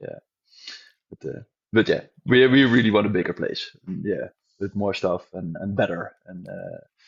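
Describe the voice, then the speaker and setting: Speaking with a Dutch accent, a man keeps a moderate pace and takes long, frequent pauses. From Netherlands. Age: 40s. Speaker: gym owner. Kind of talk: interview. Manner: halting.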